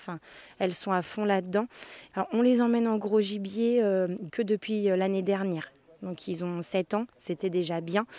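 At a moderate pace, the voice has a dark, mellow tone and monotone, flat intonation, with a dry, close sound and no echo. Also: woman. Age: 30s. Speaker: nurse and hunter. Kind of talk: interview. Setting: outdoors, forest.

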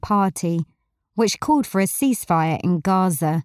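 In a very clean recording with a silent background and a dry, close sound with no echo, a woman speaks in a plain, everyday voice at a moderate pace, with a medium pitch and lively intonation. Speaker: newsreader. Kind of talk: news reading. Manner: formal, brisk, even-toned delivery; crisp, neutral, steady pace.

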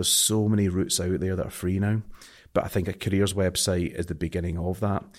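In a very clean recording with a silent background, a man with a strong Scottish accent speaks at a very fast pace, his very deep, low pitch following fairly even intonation. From Scotland. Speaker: marketing agency owner. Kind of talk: interview conversation.

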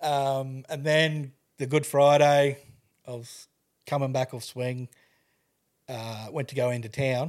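A man speaks in a monotone with flat intonation and a medium pitch, in an Australian accent. He leaves long, frequent pauses, and the recording is very clean with a silent background. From Queensland, Australia (Toowoomba). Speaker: widower and cancer carer sharing his story. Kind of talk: casual interview, personal testimony.

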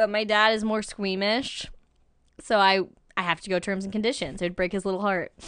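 A woman with an American accent and a plain, everyday voice speaks at a fairly quick pace, with a medium pitch and fairly even intonation, against a quiet background. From Albany, New York. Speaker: actress and improv performer. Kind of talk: casual chat.

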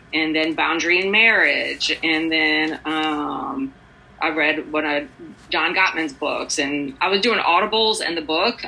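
A woman's fairly low voice with lively intonation at a fairly slow pace, over noticeable background noise. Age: 50s. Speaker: recovery program member sharing her story. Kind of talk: casual interview.

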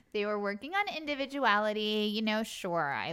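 An American accent against noticeable background noise. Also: woman. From US Northeast, Long Island. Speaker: actress and show creator. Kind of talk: casual chat. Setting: host's home.

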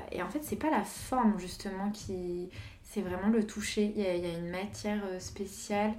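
Over noticeable background noise and audible room echo, a woman speaks at a medium pitch and a moderate pace with ordinary pitch variation. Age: 20s. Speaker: visual artist. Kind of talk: casual chat.

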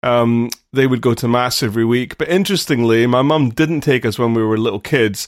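Speaking at a fairly quick pace with hardly any pauses, a man with an English accent keeps his loudness very even, his pitch medium and his pitch variation ordinary, on a very clean recording with a silent background. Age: 40s. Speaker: vicar and podcast co-host. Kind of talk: casual chat.

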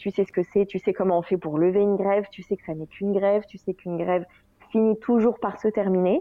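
Fairly quick female speech, medium in pitch, with fairly even intonation. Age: 30s. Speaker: general practitioner and breastfeeding mother. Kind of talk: interview testimony. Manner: hesitant, many fillers.

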